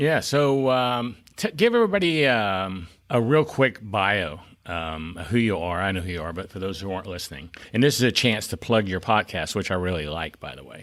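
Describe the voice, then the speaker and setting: A man with a Southern US accent speaks at a fairly low pitch and a moderate pace, his intonation lively. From South Carolina. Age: 60s. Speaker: podcast host. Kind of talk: podcast interview.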